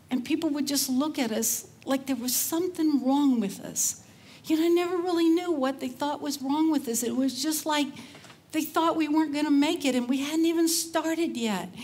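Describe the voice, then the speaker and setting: A woman with an American accent speaks at a high pitch with ordinary pitch variation. Audible room echo surrounds her voice. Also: moderate pace. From Texas, Cajun roots. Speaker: conference speaker. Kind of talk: conference talk. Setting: stage with audience. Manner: casual, chatty.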